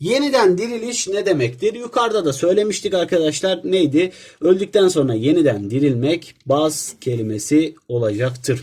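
A man speaks at a fairly high pitch with very wide pitch swings. He leaves hardly any pauses. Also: moderate pace. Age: young. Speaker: teacher. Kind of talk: tutorial.

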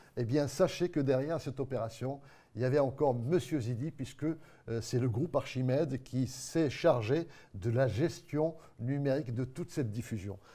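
A man's somewhat breathy voice, dark and mellow in tone, with ordinary pitch variation. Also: moderate pace. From Morocco. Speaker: TV show host. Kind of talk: live web TV magazine hosting. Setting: TV studio set. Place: studio.

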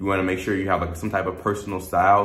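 Audible room echo surrounds a man whose pitch is very deep and low. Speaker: dating advice vlogger. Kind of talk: casual vlog chat. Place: home room.

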